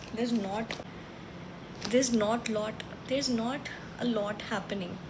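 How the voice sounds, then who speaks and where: A woman's fairly high voice at a fairly slow pace with fairly even intonation, amid noticeable background noise and audible room echo. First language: not English. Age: 20s. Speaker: book vlogger. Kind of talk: casual chat. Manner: casual.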